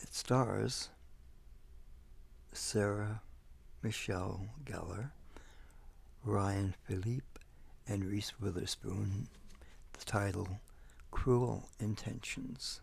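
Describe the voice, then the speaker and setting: A soft-spoken man talks at a very slow pace in a fairly low pitch, with ordinary pitch variation and vocal fry. His loudness swings widely, and he leaves long, frequent pauses. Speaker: ASMR creator. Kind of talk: casual talk to camera, showing a video collection.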